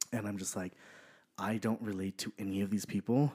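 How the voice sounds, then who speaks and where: Very clean recording of a man, background silent. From Southern California, Apple Valley. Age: 30s. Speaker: podcast guest. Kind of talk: casual interview. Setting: studio.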